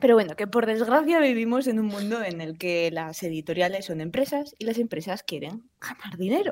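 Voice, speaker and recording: A woman at medium pitch, with lively intonation, big swings in loudness, a moderate pace and hardly any pauses. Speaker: podcast host. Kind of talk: casual chat.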